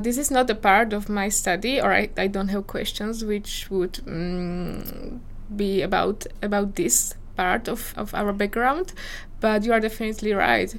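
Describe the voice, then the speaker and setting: There is audible room echo as a woman speaks with a Slovak accent. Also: medium pitch for a woman, fairly even intonation. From Slovakia, small village. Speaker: PhD candidate in geography. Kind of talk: interview. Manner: hesitant, frequent fillers.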